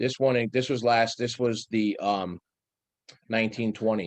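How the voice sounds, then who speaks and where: Moderate pace from a man with a fairly low pitch. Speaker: town department director. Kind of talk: budget meeting presentation. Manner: halting, many repetitions.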